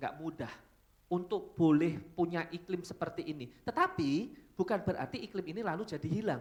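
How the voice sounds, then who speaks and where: Moderate pace, ordinary pitch variation. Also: man. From Solo, Central Java, Indonesia. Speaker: pastor. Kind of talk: sermon. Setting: church. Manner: casual, conversational.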